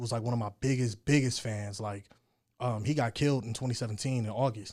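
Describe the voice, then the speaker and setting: Fairly quick and fairly even in intonation, a man speaks with an American accent in a normal speaking voice. The recording is very clean, with a silent background. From Colorado. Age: 20s. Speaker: rapper and army veteran. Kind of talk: casual chat. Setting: studio.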